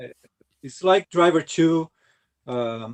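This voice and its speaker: Ordinary pitch variation marks a man's speech, delivered at a very slow pace. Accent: Brazilian Portuguese. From Brazil. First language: Portuguese. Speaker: retro gaming YouTuber. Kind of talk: casual chat. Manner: halting.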